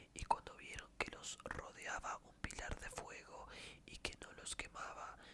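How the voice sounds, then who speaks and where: Someone whispers at a fairly slow pace, with noticeable background noise behind. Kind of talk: ASMR scripture reading. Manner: whispered.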